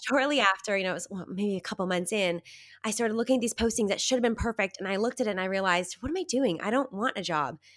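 Very fast speech from a woman, medium in pitch, with ordinary pitch variation. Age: 30s. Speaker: success coach. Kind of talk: interview conversation.

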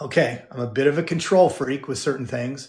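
The voice belongs to a man and sounds somewhat breathy. His pitch varies in an ordinary way. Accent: General American. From Southern California. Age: 50s. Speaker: former pastor and personal development speaker. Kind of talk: interview.

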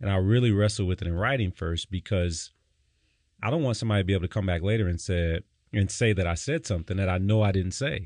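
Speaking fairly quickly with an American accent, a man uses a plain, everyday voice at fairly low pitch with ordinary pitch variation. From Detroit, US. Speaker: pastor. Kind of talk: casual chat.

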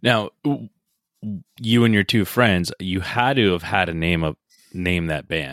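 A man with a very deep, low voice and an American accent speaks at a fairly slow pace with lively intonation and long, frequent pauses, in a dry, close recording with no echo that is very clean against a silent background. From New Jersey, outside New York City. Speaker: podcast host. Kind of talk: casual interview chat. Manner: enthusiastic, casual.

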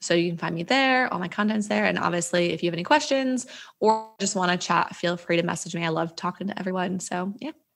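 A woman with an ordinary speaking voice and an American accent, with ordinary pitch variation. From New Jersey. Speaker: digital nomad coach. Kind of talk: casual chat.

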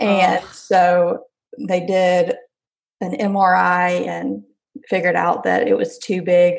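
With a Southern US accent, a woman speaks very slowly, leaving long, frequent pauses. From Alabama. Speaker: stay-at-home mom, former teacher. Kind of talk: personal birth story interview.

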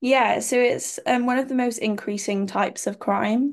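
A woman with a Cardiff accent talks at a moderate pace with ordinary pitch variation and some vocal fry. The background is quiet. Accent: Cardiff Welsh English. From Wales, Cardiff. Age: 20s. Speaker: medical student and pageant titleholder. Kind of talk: interview. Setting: remote call.

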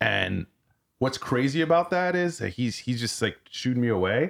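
A man talks at a moderate pace on a very clean recording, the background silent. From France. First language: French. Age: 40s. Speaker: war veteran. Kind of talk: casual chat.

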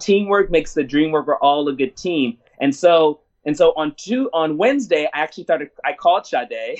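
Speaking with an American accent, a man uses a high pitch and lively intonation at a moderate pace. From Washington DC. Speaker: theater artistic director. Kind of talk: interview. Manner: passionate.

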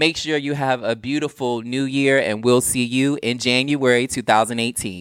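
An animated man with an American accent and hardly any pauses, in a very clean recording with a silent background. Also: medium pitch for a man, moderate pace. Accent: Southern US, strong when animated. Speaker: podcast co-host. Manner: animated, sassy.

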